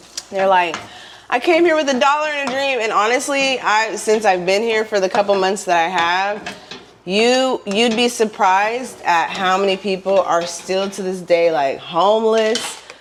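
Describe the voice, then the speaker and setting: A woman talks at an even, moderate speed and a mid-range pitch over noticeable background noise. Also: lively intonation. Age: 30s. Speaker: lifestyle vlogger. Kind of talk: casual advice monologue. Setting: at home. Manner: animated.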